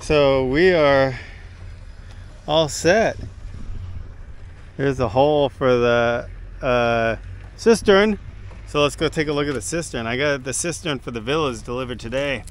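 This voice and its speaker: Recorded dry with no echo, a man speaks at a fairly slow pace with ordinary pitch variation and long, frequent pauses. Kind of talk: casual vlog chat. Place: open country. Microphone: phone near.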